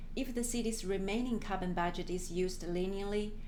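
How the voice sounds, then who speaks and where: Noticeable background noise and audible room echo surround a woman speaking at a moderate pace with an Australian accent. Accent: Australian-tinged. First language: Chinese. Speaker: climate planner. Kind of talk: work presentation. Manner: formal.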